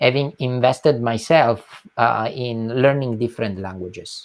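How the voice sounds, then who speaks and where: A man speaks with an Italian accent at a fairly slow pace. His pitch is medium, with ordinary variation. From southern Italy, Calabria. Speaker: nonprofit executive. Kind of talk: interview.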